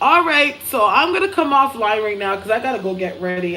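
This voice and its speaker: A woman talking very fast with lively intonation over noticeable background noise. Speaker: psychic medium livestreamer. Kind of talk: casual live stream chat. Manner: slight slurring and mumbling at times; clear enunciation from acting training.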